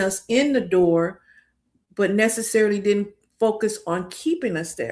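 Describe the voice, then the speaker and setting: A woman's normal speaking voice with an American accent, medium pitch, ordinary pitch variation and a fairly slow pace. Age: 60s. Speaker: career coach. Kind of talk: interview conversation.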